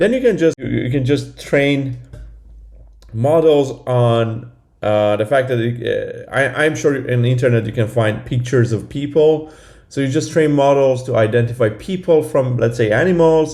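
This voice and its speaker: Dark, mellow tone from a man at medium pitch and moderate pace, ordinary pitch variation, with audible room echo. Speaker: lecturer. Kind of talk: lecture. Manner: halting, many fillers and repeats.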